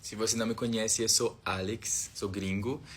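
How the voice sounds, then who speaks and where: A man speaks in an English accent at a fairly low pitch. His voice is somewhat breathy. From Australia. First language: English (speaking Portuguese). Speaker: foreign visitor vlogger. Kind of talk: casual video monologue. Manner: halting, hesitant.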